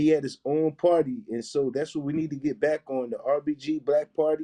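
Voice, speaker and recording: A man speaks fairly quickly with a fairly high pitch and fairly even intonation. His tone is dark and mellow, and the sound is dry and close with no echo. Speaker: activist. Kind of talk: political speech on live stream. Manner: blunt, forceful.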